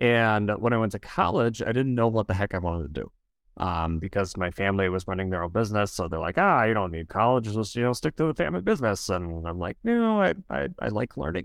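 Over a quiet background, a man with an American accent and a fairly low pitch talks very fast with lively intonation and hardly any pauses. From Wisconsin, US. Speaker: school counselor, former opera singer. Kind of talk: casual interview chat. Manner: animated, hesitant with fillers.

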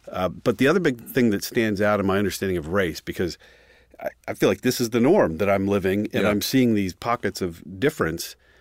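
A man with an American accent and a normal speaking voice, fairly low in pitch, talking at a fairly quick pace with ordinary pitch variation, in a dry, close sound with no echo on a very clean recording against a silent background. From rural Central Pennsylvania. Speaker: pastor. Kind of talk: casual chat.

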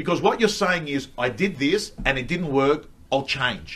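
A normal speaking voice moves at a moderate pace with lively intonation. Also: man. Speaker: real estate coach and speaker. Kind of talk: casual rant-style chat, live streamed. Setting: studio, live streamed.

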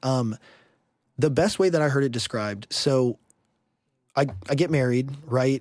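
A man's medium-pitched voice with ordinary pitch variation, long, frequent pauses, and a dry, close sound with no echo. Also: moderate pace. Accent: Texan. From Houston, Texas. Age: 30s. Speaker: podcast guest. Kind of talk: casual chat.

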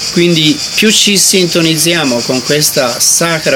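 A man talks with ordinary pitch variation as noticeable noise carries on in the background. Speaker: meditation teacher. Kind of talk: guided meditation talk. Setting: meditation retreat. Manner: bilingual, alternates English and Italian.

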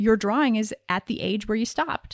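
A woman speaks at a fairly quick pace in a normal speaking voice of medium pitch. Her pitch varies by ordinary amounts, and the sound is dry and close with no echo. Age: 40s. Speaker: podcast host and intimacy coach. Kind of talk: solo podcast monologue.

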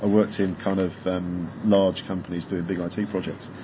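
Speaking in a flat monotone at a fairly low pitch, a man is heard over noticeable background noise. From England, west of London. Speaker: podcast interviewer. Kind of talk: casual interview.

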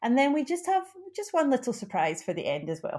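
Talking at a very fast pace, a woman with a Glaswegian accent makes very wide pitch swings. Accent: Glaswegian Scottish. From Glasgow, Scotland. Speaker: podcast co-host. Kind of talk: casual chat.

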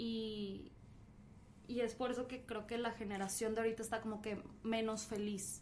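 A woman with a Mexican accent and a fairly high voice speaks at a moderate pace with long, frequent pauses, amid audible room echo and noticeable background noise. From Mexico. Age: young. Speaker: podcast host. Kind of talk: casual chat. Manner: animated.

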